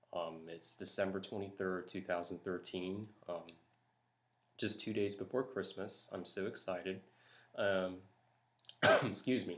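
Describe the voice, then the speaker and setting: Soft-spoken and very deep in pitch, a man talks at a fairly slow pace with fairly even intonation and long, frequent pauses. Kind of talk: accent tag word list and casual talk to camera.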